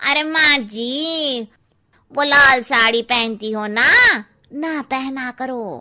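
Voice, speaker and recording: A woman uses a high-pitched cartoonish character voice at a very slow pace. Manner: blunt, chatty.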